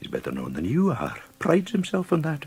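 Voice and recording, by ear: Putting on a character voice, a man goes fairly quickly at a fairly high pitch with very wide swings, a slightly mellow tone, a husky, rough edge and vocal fry.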